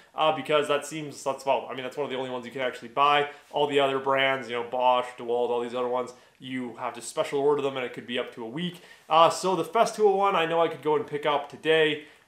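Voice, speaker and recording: A man speaks at a very fast pace, with audible room echo. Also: ordinary pitch variation. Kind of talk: casual vlog chat. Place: workshop. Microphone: camera far.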